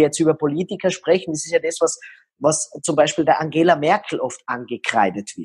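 An ordinary speaking voice from a man, fairly high in pitch with ordinary variation, at a moderate pace, dry and close with no echo. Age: 40s. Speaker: body language expert. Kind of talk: interview.

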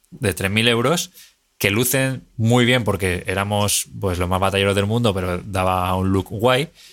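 A man in a plain, everyday voice at a fairly slow pace, with ordinary pitch variation. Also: fairly low pitch for a man. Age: 30s. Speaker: film director. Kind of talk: casual chat.

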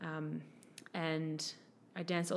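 A woman with an Australian accent speaks with monotone, flat intonation. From Sydney, Australia. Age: 20s. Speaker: personal trainer and former model. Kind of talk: casual interview chat.

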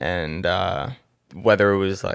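With an American accent, a man speaks in a very deep, low voice at a moderate pace and fairly even intonation, the sound dry and close with no echo. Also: very clean recording, silent background. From New Jersey. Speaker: music producer. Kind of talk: casual interview.

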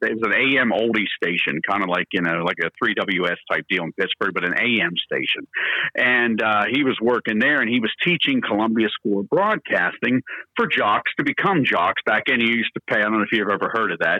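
An unremarkable speaking voice, a man's, with an American accent and medium pitch. He talks at a fairly quick pace with lively intonation and very even loudness. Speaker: morning radio DJ. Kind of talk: casual chat interview.

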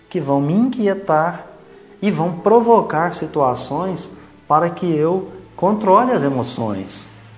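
A man speaks at a very slow pace with very wide pitch swings. Audible room echo surrounds his voice. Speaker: spiritist podcast host. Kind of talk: religious reflection talk.

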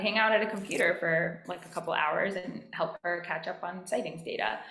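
A moderate pace and fairly even intonation, with noticeable background noise and audible room echo. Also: woman. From US, DC metro area. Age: 20s. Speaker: marine data and sightings coordinator. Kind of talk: casual interview.

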